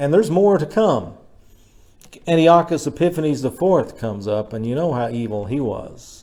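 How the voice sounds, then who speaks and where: Swinging very widely in pitch, a man with a fairly high voice and a dark, mellow tone speaks at a moderate pace. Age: 60s. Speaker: pastor. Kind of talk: sermon. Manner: conversational.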